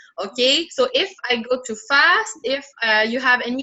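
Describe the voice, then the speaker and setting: A woman with a French accent speaks with very wide pitch swings. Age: 20s. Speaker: language tutor. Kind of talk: online language lesson. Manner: halting.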